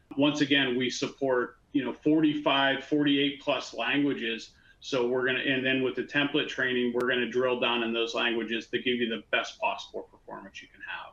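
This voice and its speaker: Fairly quick speech with hardly any pauses, in an American accent, monotone and flat, with big swings in loudness and noticeable background noise. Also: man, medium pitch for a man. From Pittsburgh, US. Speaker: channel business manager. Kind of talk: webinar panel Q&A.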